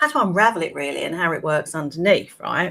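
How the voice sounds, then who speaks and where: Someone speaks at a moderate pace with a British accent. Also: woman. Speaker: wellbeing coach. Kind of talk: live-stream talk. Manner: conversational.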